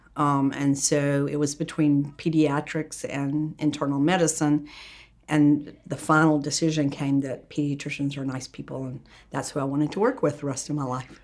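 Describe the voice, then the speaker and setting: Speaking at a moderate pace in a Southern US accent, a woman has a very deep, low voice and monotone, flat intonation. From US South, Atlanta, Georgia. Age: 70s. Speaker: pediatrician. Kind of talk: interview.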